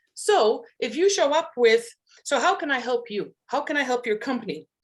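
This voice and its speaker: Woman in a Maltese accent, high-pitched, with very wide pitch swings and a moderate pace. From Malta. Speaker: hypnotherapist and networking expert. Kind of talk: panel talk on networking.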